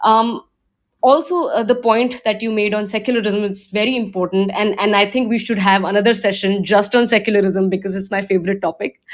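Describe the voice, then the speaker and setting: With an Indian accent, a woman talks at a fairly quick pace, her medium pitch carrying fairly even intonation. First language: Hindi. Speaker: discussion moderator. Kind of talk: online panel discussion. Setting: audio chat room. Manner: hesitant, many fillers and repeats.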